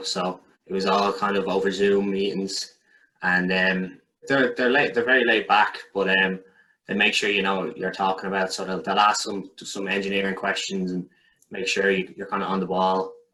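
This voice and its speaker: With an Irish accent, a man speaks at a fairly low pitch in a flat monotone. His tone is bright and sharp. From Ireland, County Kildare. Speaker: graduate electrical engineer. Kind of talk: casual interview.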